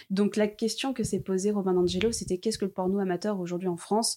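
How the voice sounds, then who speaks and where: At a fairly quick pace and with fairly even intonation, the speaker has a dark, mellow tone on a very clean recording with a silent background. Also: woman. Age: 20s. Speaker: podcaster and Instagram account creator. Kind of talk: casual chat.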